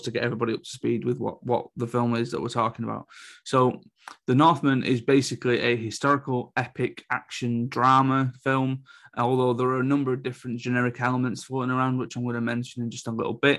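A man with a British accent speaks at a very fast pace and medium pitch. His intonation is monotone and flat, over a quiet background. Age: 30s. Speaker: film reviewer. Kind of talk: solo review podcast.

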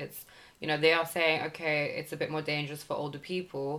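A woman speaks with a British accent. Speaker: podcast host. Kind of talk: casual chat.

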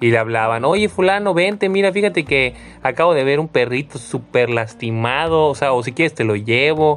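A man talks at a moderate pace in a normal speaking voice. His pitch is fairly high and his intonation is lively. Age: 30s. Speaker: podcast host. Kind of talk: casual chat.

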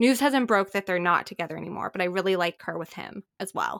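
A woman with a normal speaking voice talks at a fairly quick pace, her pitch medium and her intonation lively. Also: dry, close sound with no echo. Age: 20s. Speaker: podcast host. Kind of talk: casual chat. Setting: remote call.

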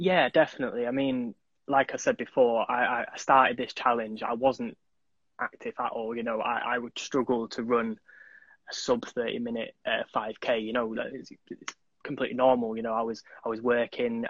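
A man's medium-pitched voice at a moderate pace, with monotone, flat intonation and a Mancunian accent. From Manchester, England. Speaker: charity runner. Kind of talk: casual chat interview.

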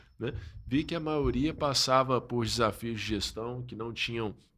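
Here is a man with a plain, everyday voice. He has a medium pitch and a moderate pace. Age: 30s. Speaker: pastor and social-enterprise founder. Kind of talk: casual chat.

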